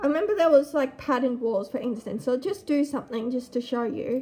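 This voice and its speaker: Loud and at a high pitch, a woman speaks out. Her pace is fairly quick. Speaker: gaming YouTuber. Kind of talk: gameplay commentary. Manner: casual.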